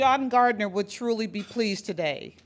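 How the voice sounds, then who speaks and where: A woman with a Boston accent speaks at a moderate pace and a fairly high pitch, her intonation fairly even, on a very clean recording with a silent background. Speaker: award presenter. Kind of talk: award ceremony speech.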